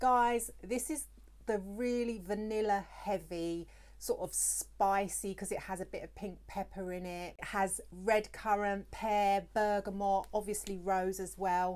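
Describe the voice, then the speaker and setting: A woman with a medium pitch talks at a fairly slow pace, her intonation fairly even. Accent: British. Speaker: perfume reviewer, beauty YouTuber. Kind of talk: product review vlog.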